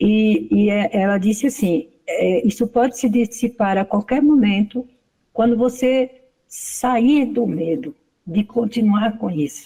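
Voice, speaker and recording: A woman speaks at a very slow pace, fairly high in pitch with ordinary pitch variation. Her tone is dark and mellow and somewhat breathy. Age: 60s. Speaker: study group participant. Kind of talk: testimony.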